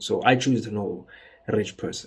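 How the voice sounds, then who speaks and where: A man with a normal speaking voice, medium pitch, and a fairly quick pace. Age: 20s. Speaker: trader. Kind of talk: casual monologue. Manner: casual.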